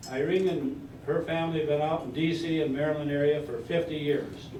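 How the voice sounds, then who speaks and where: Audible room echo surrounds a man speaking at a fairly slow pace and a fairly high pitch. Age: 80s+. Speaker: retiree giving a birthday speech. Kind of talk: after-dinner speech.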